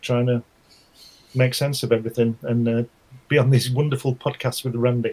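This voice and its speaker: A man with an English accent talks at a fairly quick pace, somewhat breathy and in a monotone, flat intonation. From England. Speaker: writer, artist and publisher. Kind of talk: casual chat.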